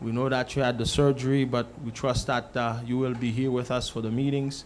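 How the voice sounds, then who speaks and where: At a moderate pace, a man in a normal speaking voice holds a medium pitch. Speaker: church announcer / congregation member at a church service. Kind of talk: church announcements, casual testimony. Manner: earnest, conversational.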